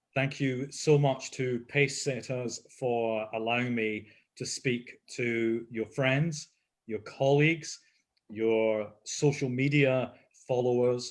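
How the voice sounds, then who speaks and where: A man with a medium-pitched voice speaks very slowly, his intonation fairly even. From Scotland, Leith in Edinburgh. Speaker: deputy mayor. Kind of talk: live interview. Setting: video call livestream.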